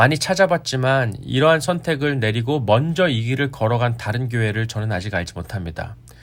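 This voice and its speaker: An ordinary speaking voice from a man at a medium pitch, with lively intonation, a fairly quick pace and hardly any pauses. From Korea. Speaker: pastor. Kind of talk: sermon. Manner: formal.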